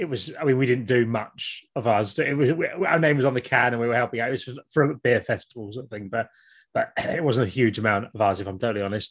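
A man with a southern English accent, medium pitch, ordinary pitch variation and a very fast pace, against a quiet background. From Kent, southern England. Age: 40s. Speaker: podcast co-host and YouTuber. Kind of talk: casual interview chat.

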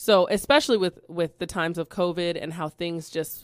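A woman's fairly low voice in a Californian accent, at a fairly slow pace with fairly even intonation, on a very clean recording with a silent background. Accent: Californian American English. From Bakersfield, California. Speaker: educator. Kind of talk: radio interview. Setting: studio.

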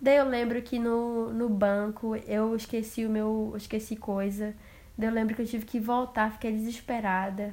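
Her tone dark and mellow, a woman speaks at a moderate pace with a fairly high pitch and monotone, flat intonation. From Brazil, interior of Amazonas. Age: 20s. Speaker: podcaster, au pair. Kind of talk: casual personal storytelling monologue.

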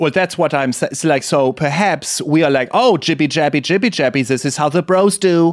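With hardly any pauses, a man talks at a fairly high pitch. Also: ordinary pitch variation, fairly quick pace. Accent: German. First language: German. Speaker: podcast co-host. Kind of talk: casual chat. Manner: animated.

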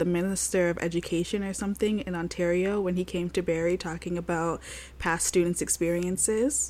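In a very clean recording with a silent background, a woman with a Toronto accent speaks at a moderate pace, her dark, mellow tone fairly low in pitch with fairly even intonation. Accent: Canadian (Toronto). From Toronto, Canada. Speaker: podcast co-host. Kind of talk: casual chat.

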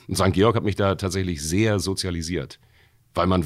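This man's voice is very deep and low, its pitch moving in an ordinary way. Nothing can be heard behind him on the very clean recording. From Hamburg, Wilhelmsburg. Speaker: bouncer and voice actor. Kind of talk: casual chat.

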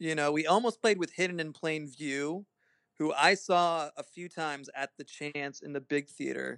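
A man's fairly high-pitched voice, dry and close with no echo. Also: ordinary pitch variation, moderate pace. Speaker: lead guitarist. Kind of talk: casual chat. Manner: laid-back.

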